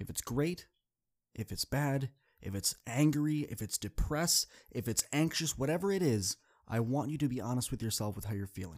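Upbeat and animated, a man speaks at a moderate pace with medium pitch. The sound is dry and close with no echo, in a very clean recording with a silent background. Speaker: motivational speaker and podcast host. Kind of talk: solo podcast monologue with pep talk. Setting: studio. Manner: upbeat, animated, warm and encouraging; conversational, direct address, casual.

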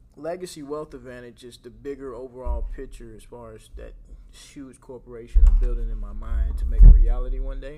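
A man talks at a moderate pace. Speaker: podcast host in the life insurance industry. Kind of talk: casual interview.

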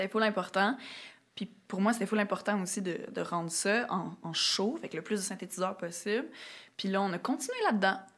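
A woman with a Quebec accent speaks with ordinary pitch variation. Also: medium pitch for a woman, moderate pace. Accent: Québécois French. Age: 30s. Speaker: singer-songwriter. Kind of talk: casual interview.

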